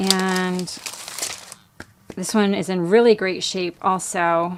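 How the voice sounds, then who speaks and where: Very slow speech from a woman at medium pitch, over noticeable background noise. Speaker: crafter and online shop owner. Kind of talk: product showcase tutorial. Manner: casual with frequent fillers.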